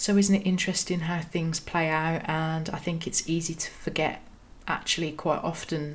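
This woman has a Birmingham accent and a fairly low pitch, with a somewhat breathy sound. She talks at a moderate pace in a monotone, flat intonation. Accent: Birmingham (Brummie) English. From Birmingham, England. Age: 30s. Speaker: podcast host. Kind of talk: personal storytelling monologue.

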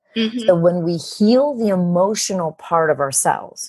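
A woman talks at a moderate pace with lively intonation and a medium pitch. Her voice is somewhat breathy. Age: 50s. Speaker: business coach and author. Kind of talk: interview.

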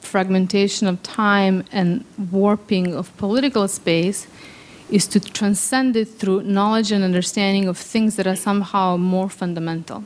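A woman's voice at medium pitch and moderate pace. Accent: Serbo-Croatian. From Bosnia (Sarajevo). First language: Serbo-Croatian. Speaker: theoretical physicist. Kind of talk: storytelling. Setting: stage with audience.

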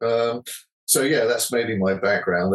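A man is talking. His pace is fairly quick. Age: 60s. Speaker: musician and composer. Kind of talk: casual interview.

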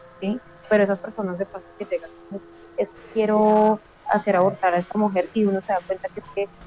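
A woman talks at a very fast pace. Music plays in the background, and the sound is dry and close with no echo. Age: 30s. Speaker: witch and esoteric practitioner. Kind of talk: interview conversation.

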